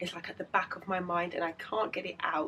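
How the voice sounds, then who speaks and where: A woman with a British accent at medium pitch, fairly even intonation, moderate pace. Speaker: illustrator vlogger. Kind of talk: casual vlog.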